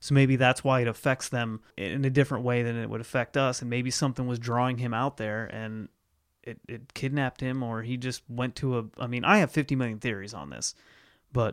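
In a plain, everyday voice, a man with an American accent talks at a fairly quick pace and medium pitch, his intonation fairly even and the sound dry and close with no echo. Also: very clean recording, silent background. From Ohio, US Midwest. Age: 30s. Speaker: podcast host. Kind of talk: casual chat.

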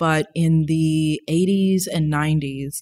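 A woman speaks in a very deep, low pitch. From US South, New Orleans, Louisiana. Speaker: visual artist, graduate student. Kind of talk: casual chat. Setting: in person in London.

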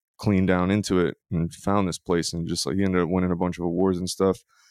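A man's very deep, low voice with an American accent and fairly even intonation, in a dry, close sound with no echo against a quiet background. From US South, Louisiana. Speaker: musician. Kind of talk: casual chat.

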